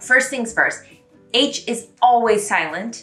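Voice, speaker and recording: Music plays in the background as a voice speaks in an upbeat tone at a moderate pace. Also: woman. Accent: American. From United States. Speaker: YouTuber, French pronunciation explainer. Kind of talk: casual talk to camera.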